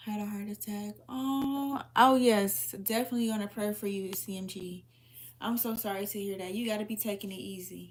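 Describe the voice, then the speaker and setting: A woman's somewhat breathy voice rests at a medium pitch. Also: ordinary pitch variation, moderate pace. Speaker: livestreamer answering viewer comments. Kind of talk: casual live chat.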